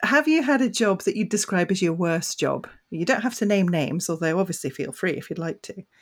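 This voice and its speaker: Hardly pausing, a woman with an unremarkable speaking voice at medium pitch speaks at a fairly quick pace with lively intonation, in a very clean recording with a silent background. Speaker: podcast co-host. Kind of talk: casual interview.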